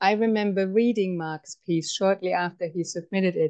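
A woman speaks at a moderate pace, her pitch varying in an ordinary way, and the background is quiet. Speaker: event host. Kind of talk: introduction of a speaker. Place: home room. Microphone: earbuds.

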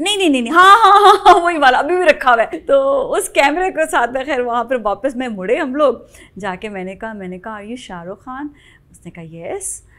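Raised and projected, a woman's high, bright, sharp voice makes very wide pitch swings and big swings in loudness. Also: moderate pace. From Pakistan. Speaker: TV morning show host. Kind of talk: casual interview. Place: studio.

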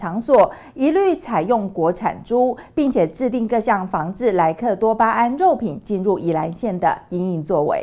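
Her tone is dark and mellow as the woman's pitch swings very widely. She keeps a moderate pace with hardly any pauses. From Taiwan. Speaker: news anchor. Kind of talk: news reading. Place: studio.

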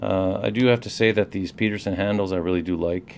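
The delivery keeps a fairly even intonation at a moderate pace. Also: man. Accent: Canadian. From Canada. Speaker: lockpicking hobbyist reviewer. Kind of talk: product review and demonstration. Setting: at work during a break. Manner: halting, many fillers.

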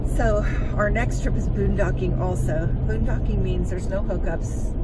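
There is loud background noise behind this woman. She talks at a moderate pace. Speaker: vlogger. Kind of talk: casual vlog chat. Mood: cheerful, chatty. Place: car. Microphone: phone near.

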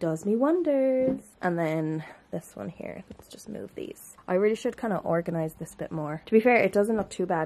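A woman with an Irish accent has a dark, mellow tone over light background noise. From Ireland. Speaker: vlogger. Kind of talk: casual vlog. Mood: relaxed, chatty. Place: home room. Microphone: phone near.

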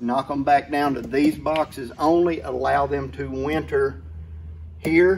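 A man's slightly mellow voice, medium in pitch, slow and fairly even in intonation

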